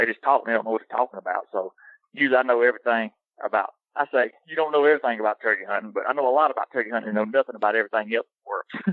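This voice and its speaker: Here a man with a Southern US accent speaks at a medium pitch with ordinary pitch variation. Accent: Southern drawl. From US South. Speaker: hunting social media personality. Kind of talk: casual interview chat. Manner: animated.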